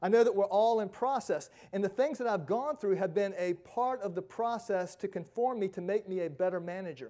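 A man's high voice with a dark, mellow tone, at a fairly quick pace over a quiet background. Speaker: pastor. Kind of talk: sermon. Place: church. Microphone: lapel.

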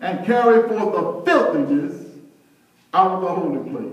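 Over audible room echo, a man speaks slowly-ish at a fairly slow pace with a high pitch and ordinary pitch variation. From US. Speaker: preacher. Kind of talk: sermon. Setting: church. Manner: animated; call-and-response. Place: church. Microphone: camera far.

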